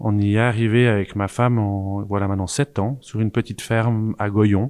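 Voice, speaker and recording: The recording is dry and close with no echo. A man with an unremarkable speaking voice talks at a fairly low pitch with fairly even intonation. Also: quiet background. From French-speaking Switzerland. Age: 40s. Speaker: farmer and agronomist. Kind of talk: casual discussion.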